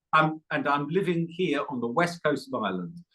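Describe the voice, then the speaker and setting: Speaking with an English accent, a man uses lively intonation. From England. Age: 70s. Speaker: Buddhist meditation teacher. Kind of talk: podcast interview.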